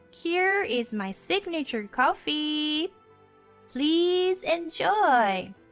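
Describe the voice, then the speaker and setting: A woman uses a put-on character voice, extremely high and sing-song, with very wide pitch swings at a very slow pace. Faint music plays in the background. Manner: teasing, sing-song.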